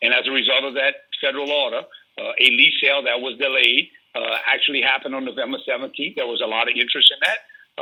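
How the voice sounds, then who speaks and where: Animated in tone, a man with a Louisiana accent talks at a fairly quick pace. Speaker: energy industry advocate. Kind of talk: radio interview. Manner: animated, repetitive stammering starts.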